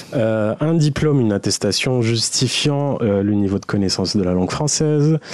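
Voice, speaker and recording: At a moderate pace and with ordinary pitch variation, a man talks in an unremarkable speaking voice. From Saudi Arabia (Algerian family). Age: 30s. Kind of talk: personal story.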